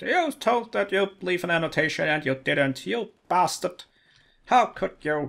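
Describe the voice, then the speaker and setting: A man puts on a character voice, pitched high for a man, with lively intonation. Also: moderate pace, very clean recording, silent background. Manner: angry, mocking.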